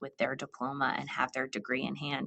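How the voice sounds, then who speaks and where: A woman is speaking. She has an American accent. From New Jersey. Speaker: state higher education official. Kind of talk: podcast interview.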